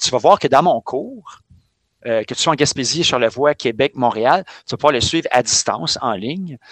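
In an unremarkable speaking voice, a man speaks at a moderate pace and fairly high pitch with lively intonation, the sound dry and close with no echo. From Quebec, Montreal. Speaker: physical education teacher. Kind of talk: casual chat.

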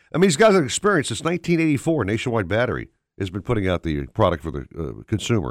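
A man speaks at a very fast pace in an animated tone, his pitch swinging very widely. His voice has vocal fry, and the recording is very clean, with a silent background. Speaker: radio host. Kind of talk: casual chat. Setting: studio.

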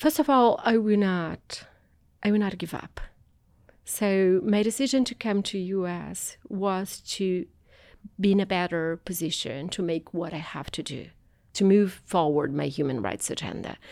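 Fairly slow, lively speech in a Portuguese accent, in a very clean recording with a silent background. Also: woman, medium pitch for a woman. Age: 40s. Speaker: anthropologist and activist. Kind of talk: interview.

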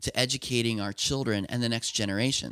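With an American accent, a man speaks in an ordinary speaking voice of medium pitch and ordinary pitch variation, on a very clean recording with a silent background and a dry, close sound with no echo. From Lancaster County, Pennsylvania. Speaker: software company founder. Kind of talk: interview.

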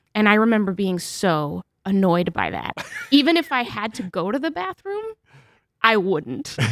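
Her pitch swings very widely. The woman speaks with an American accent. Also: medium pitch for a woman, moderate pace. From New Hampshire, born in Mexico. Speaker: author and journalist. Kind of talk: interview.

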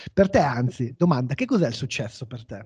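Speaking at a fairly quick pace, a man with a dark, mellow tone makes very wide pitch swings. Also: dry, close sound with no echo. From northern Italy, Como. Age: 30s. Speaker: podcast host. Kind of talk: interview.

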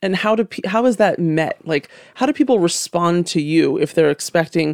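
A woman with an ordinary speaking voice talks at a moderate pace with lively intonation, the sound dry and close with no echo. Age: 30s. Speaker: podcast host and skincare founder. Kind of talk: interview conversation. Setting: studio.

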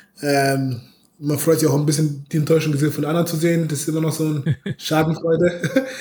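This man has a normal speaking voice and a fairly high pitch. He talks at a fairly quick pace with fairly even intonation. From Bavaria, Munich. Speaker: American football player. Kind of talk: interview.

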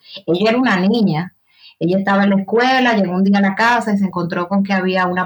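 A woman talks in a somewhat breathy voice with fairly even intonation. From Dominican Republic, San Cristóbal province. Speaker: writer and journalist. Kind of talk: interview conversation.

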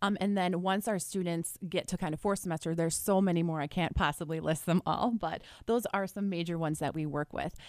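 In a plain, everyday voice, a woman speaks at a fairly quick pace with hardly any pauses, a fairly low pitch and fairly even intonation, on a very clean recording with a silent background. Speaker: nursing instructor. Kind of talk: radio interview. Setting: radio studio.

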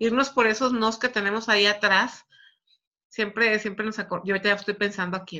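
A woman's bright, sharp tone at a moderate pace, in a very clean recording with a silent background. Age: 40s. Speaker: network marketing coach. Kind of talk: live stream motivational talk. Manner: casual, conversational.

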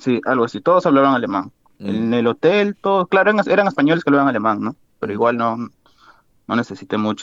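Speaking very fast in a Lima accent, a man with a medium pitch makes very wide pitch swings, and the sound is dry and close with no echo. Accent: Peruvian (Lima) Spanish. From Peru, Lima. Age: 20s. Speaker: university student and amateur footballer. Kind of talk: casual interview.

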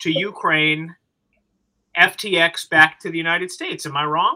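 A man's raised, projected voice with an American accent, at a moderate pace. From Los Angeles, California. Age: 40s. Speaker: podcast host. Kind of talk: casual chat.

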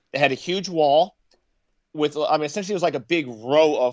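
A man with a normal speaking voice and an American accent, at a fairly quick pace with ordinary pitch variation, over a quiet background. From Michigan. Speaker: war veteran. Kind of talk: interview.

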